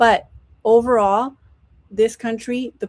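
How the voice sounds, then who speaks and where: A woman speaks at a fairly slow pace. She has an American accent. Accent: slight California Mexican. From Mexico. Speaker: panelist. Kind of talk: panel debate.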